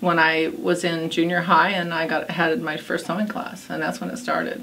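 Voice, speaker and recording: This woman's voice is fairly low in pitch and moves at a moderate pace. The recording has audible room echo and noticeable background noise. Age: 60s. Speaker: quilt shop owner. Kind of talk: interview. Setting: in her quilt shop. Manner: conversational, with many fillers.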